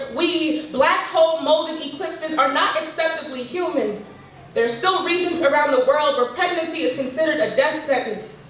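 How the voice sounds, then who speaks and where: Over noticeable background noise, a woman with a high pitch talks at a moderate pace with ordinary pitch variation. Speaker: slam poet. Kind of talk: spoken word poetry performance. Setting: live venue.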